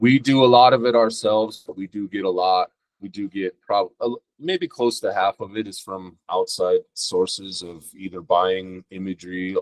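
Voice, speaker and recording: A man with a General American accent speaks in a plain, everyday voice, fairly low in pitch, at a moderate pace with hardly any pauses. His loudness swings widely and his pitch varies in an ordinary way, with a dry, close sound and no echo. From Denver, Colorado. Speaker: rapper and producer. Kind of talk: casual interview.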